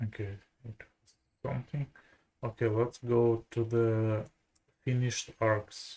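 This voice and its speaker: The delivery moves at a very slow pace. Long, frequent pauses break it up. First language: Russian. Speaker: programmer. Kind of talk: live coding tutorial. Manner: halting.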